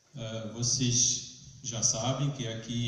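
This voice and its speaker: There is noticeable background noise and audible room echo as a man talks at a medium pitch. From France. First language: French (speaking Portuguese). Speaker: lecturer at a spiritist movement event. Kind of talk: lecture. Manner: halting, with filler sounds.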